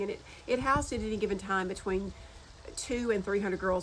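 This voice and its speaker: A woman speaks with a Southern US accent. Her voice sits at a medium pitch. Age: 60s. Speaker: social media creator. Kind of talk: casual chat. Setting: outdoors on porch. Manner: fast.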